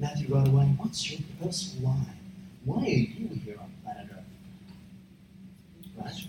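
Over noticeable background noise, a man speaks at a very slow pace, his fairly high pitch making very wide swings. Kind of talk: sermon, preacher in full flow, teaching the congregation.

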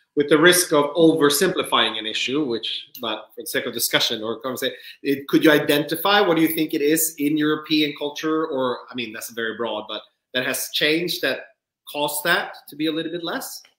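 With a Swedish accent, a man speaks fairly quickly at a fairly high pitch, his pitch varying in an ordinary way and his loudness swinging widely. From Sweden. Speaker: livestream co-host. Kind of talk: interview. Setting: video call.

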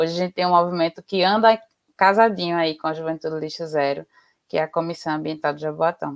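At a very fast pace, a woman speaks with a fairly low pitch and fairly even intonation in a dry, close sound with no echo. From Recife, Pernambuco, Brazil. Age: 20s. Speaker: biologist and environmental activist. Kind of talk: interview on a live stream. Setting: online live stream.

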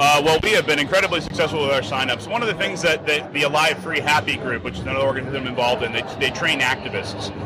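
Amid noticeable background noise, a man talks at a very fast pace with hardly any pauses, a fairly high pitch, and lively intonation. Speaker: libertarian party activist. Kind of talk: casual interview answer. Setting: convention show floor.

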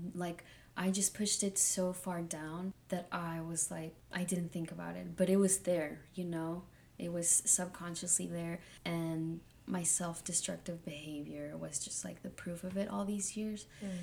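A woman speaks at a fairly slow pace with fairly low pitch. Her voice is somewhat breathy, and her intonation stays fairly even. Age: 20s. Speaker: guest. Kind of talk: casual chat.

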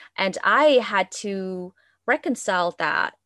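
A woman speaks at a medium pitch with a Vietnamese accent, her voice dry and close with no echo against a quiet background. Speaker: podcast co-host and astrologer. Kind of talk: casual chat. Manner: hesitant, many fillers.

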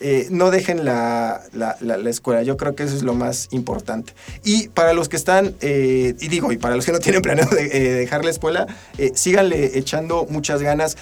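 Noticeable background noise under a man's moderate pace, fairly high pitch and ordinary pitch variation. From central Mexico. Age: 20s. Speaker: data analyst. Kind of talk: interview. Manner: halting, many fillers and repetitions.

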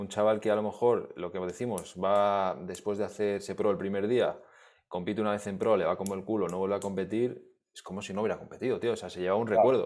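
With a Spanish accent, a man talks at a very fast pace, his pitch fairly low and his intonation fairly even. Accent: Peninsular Spanish. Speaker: podcast host. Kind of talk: interview.

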